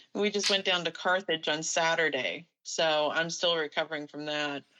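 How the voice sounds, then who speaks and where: Here is a woman with a normal speaking voice and a fairly low pitch. Her intonation is fairly even, and her pace is moderate. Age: 60s. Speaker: paranormal investigator. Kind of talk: casual chat.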